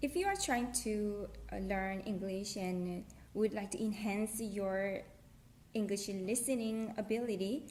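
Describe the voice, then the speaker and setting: Somewhat breathy and medium in pitch, a woman speaks with a Korean accent and fairly even intonation. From South Korea. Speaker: language tutorial creator. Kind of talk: casual talk to camera.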